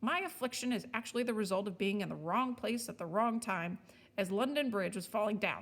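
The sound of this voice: An unforced reading voice, pitch varying an ordinary amount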